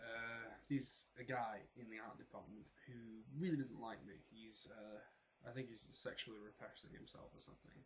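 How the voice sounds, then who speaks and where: The speaker has a slight South Yorkshire accent, a somewhat breathy voice, a moderate pace, fairly even intonation and big swings in loudness. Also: man, medium pitch for a man. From South Yorkshire, England. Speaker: vlogger, performing arts student. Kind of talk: casual vlog monologue.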